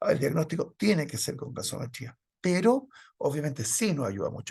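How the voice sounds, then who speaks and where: This man's voice is fairly high in pitch, with an intense tone and vocal fry. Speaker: medical lecturer. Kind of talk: lecture. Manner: fast.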